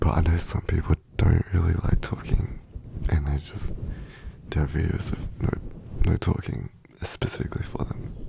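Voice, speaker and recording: Whispering with long, frequent pauses, a man speaks over noticeable background noise. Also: moderate pace. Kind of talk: ASMR rambling to help viewers sleep; casual talk to camera. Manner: soft-spoken.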